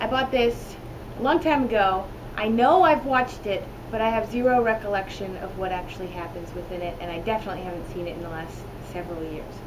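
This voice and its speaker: A fairly high-pitched woman at a very fast pace, lively intonation and big swings in loudness, over noticeable background noise. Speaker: VHS reviewer. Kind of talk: casual commentary to camera. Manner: casual, playful.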